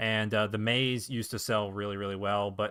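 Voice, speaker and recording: A plain, everyday voice from a man, fairly low in pitch, fairly quick, with fairly even intonation. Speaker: indie game developer streamer. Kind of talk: live stream casual talk. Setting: live stream at home setup. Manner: casual, filler-heavy.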